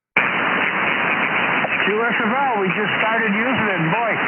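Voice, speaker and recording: Noticeable background noise and audible room echo surround a man's high voice, which holds a very even loudness. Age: 70s. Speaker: ham radio operator. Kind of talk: ham radio contact on air.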